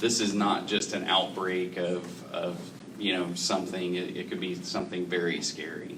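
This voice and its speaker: A monotone, flat intonation comes through with noticeable background noise and audible room echo. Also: man. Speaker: healthcare representative on a panel. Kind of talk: panel discussion. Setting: public forum in a library. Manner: loud.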